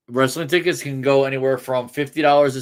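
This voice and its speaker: On a very clean recording with a silent background, a man with an American accent talks at a fairly quick pace, medium in pitch, with ordinary pitch variation. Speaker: sports podcast host. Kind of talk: casual chat. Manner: loud; halting, many restarts.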